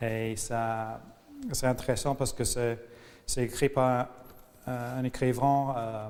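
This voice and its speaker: A medium-pitched male voice with an English accent. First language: English (speaking French). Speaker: interviewee. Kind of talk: interview. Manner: halting, many hesitations.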